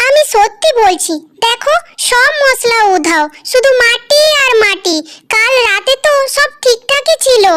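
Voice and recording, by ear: In a squeaky, cartoonish character voice, the speaker goes at a fairly slow pace with lively intonation and very even loudness. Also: woman, extremely high pitch for a woman.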